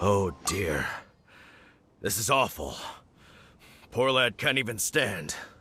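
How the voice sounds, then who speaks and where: Using a raspy, fairly low put-on character voice, a man speaks at a fairly slow pace with long, frequent pauses. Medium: video game.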